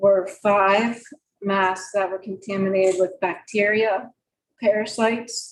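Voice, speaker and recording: Soft-spoken and at a very slow pace, the voice keeps a monotone, flat intonation. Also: woman. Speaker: parent speaking at public comment. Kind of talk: public comment statement. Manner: halting, many ums.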